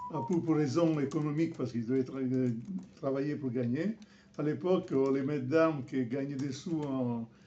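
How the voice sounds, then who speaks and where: A man with a rather high voice and normal pitch movement talks while clear noise plays behind him. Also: moderate pace. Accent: Italian. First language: Italian (speaking French). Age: 70s. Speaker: fencing master. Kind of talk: interview. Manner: halting.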